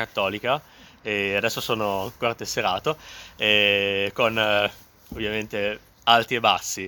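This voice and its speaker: This man speaks at a moderate pace. His tone is bright and sharp. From Emilia, northern Italy (Modena). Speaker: testimony speaker. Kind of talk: personal testimony.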